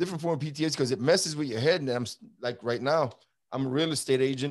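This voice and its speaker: A man with a New York accent speaks at a very fast pace and a medium pitch, with ordinary pitch variation. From Brooklyn, New York. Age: 50s. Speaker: former border patrol agent. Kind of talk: interview. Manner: animated.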